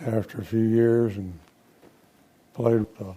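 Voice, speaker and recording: Over noticeable background noise, a man with an American accent speaks very slowly at a medium pitch in a monotone, flat delivery. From Texas, north (Frisco). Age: 80s+. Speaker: retired engineer and businessman, former economic development board chair. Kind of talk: interview. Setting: studio. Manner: halting.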